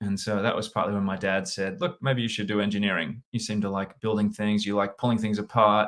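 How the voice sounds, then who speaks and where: A man is speaking. His accent is Australian. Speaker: sales and leadership consultant. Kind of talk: interview.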